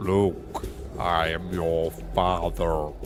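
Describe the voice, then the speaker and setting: Against loud background noise, a man strains through a put-on character voice. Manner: strained, imperfect impression.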